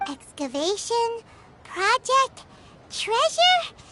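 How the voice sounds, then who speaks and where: An extremely high, squeaky, put-on character voice. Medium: video game. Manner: excitable.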